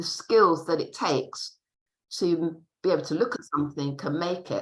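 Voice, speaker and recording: Fairly low in pitch, a woman talks in a plain, everyday voice. Her pitch shows ordinary variation. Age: 60s. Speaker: textile artist. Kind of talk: panel discussion. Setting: video call.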